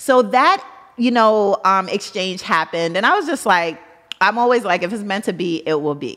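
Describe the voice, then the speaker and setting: Against noticeable background noise, a woman with an American accent talks at a moderate pace and medium pitch with lively intonation. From Brooklyn, New York. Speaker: entrepreneur. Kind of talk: interview.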